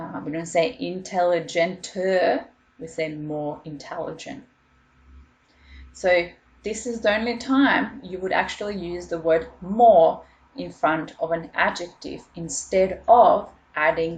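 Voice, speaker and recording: Speaking very slowly with a non-native accent, a woman has a fairly low pitch, ordinary pitch variation and big swings in loudness. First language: not English. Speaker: school teacher. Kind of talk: online lesson.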